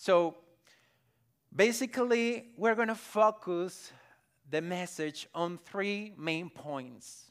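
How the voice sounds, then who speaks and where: A man's high voice in a Spanish accent, very slow with long, frequent pauses and lively intonation. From Colombia, Barranquilla (Caribbean coast). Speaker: pastor. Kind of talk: sermon. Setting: church.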